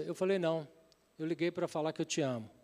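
Recorded very cleanly against a silent background, a man speaks at a high pitch. His pitch varies in an ordinary way. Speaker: pastor. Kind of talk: sermon with personal testimony. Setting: church service with congregation.

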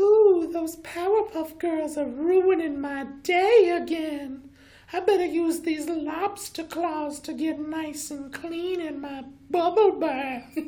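In a put-on character voice pitched extremely high, the speaker goes at a fairly slow pace. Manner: campy, weird, mock-villainous.

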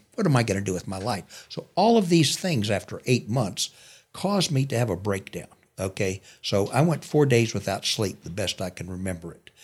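Somewhat breathy and fairly low in pitch, a man with an American accent talks at a moderate pace on a very clean recording with a silent background. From US army bases, Texas family. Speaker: war veteran. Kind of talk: interview testimony.

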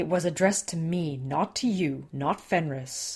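Putting on a character voice, a woman growls at a fairly low pitch. Her pace is moderate. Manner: growling.

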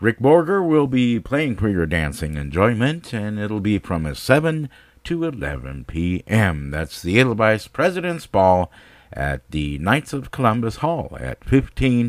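A man speaks very slowly in an upbeat tone, his fairly low voice swinging very widely in pitch. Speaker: radio host. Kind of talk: radio DJ patter, bilingual English and German station IDs and show announcements. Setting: internet radio studio, streaming live. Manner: brisk, upbeat, polished broadcaster delivery, repeats schedule and website.

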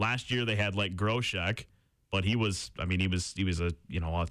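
The recording is very clean, with a silent background. A man speaks at a moderate pace with ordinary pitch variation. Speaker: college radio sports co-host. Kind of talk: sports talk show. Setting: radio studio.

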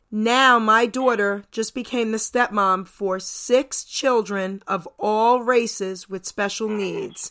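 Very slow, with hardly any pauses, from a woman with an American accent, a fairly high pitch and a bright, sharp tone, in a very clean recording with a silent background. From New York and New Jersey. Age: 60s. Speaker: radio DJ. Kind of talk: casual radio interview. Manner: animated.

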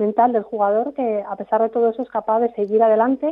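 Her fairly high-pitched voice moves at a fairly quick pace, and this woman's intonation is monotone and flat. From Spain, Segovia. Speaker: performance coach. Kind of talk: interview.

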